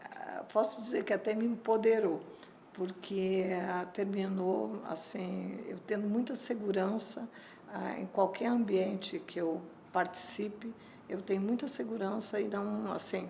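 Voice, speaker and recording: Over noticeable background noise and audible room echo, a woman speaks at a fairly slow pace with medium pitch and fairly even intonation. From southern Brazil, Porto Alegre. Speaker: energy industry association president. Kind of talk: interview.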